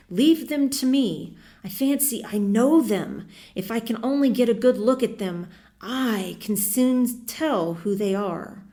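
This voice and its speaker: A woman does a put-on character voice, pitched fairly high and shrill, at a fairly slow pace. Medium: read story. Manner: taunting, feverish.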